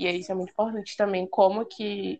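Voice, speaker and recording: At a fairly quick pace, a woman speaks in a plain, everyday voice with a medium pitch and fairly even intonation. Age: 20s. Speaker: student, junior enterprise president. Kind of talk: casual chat.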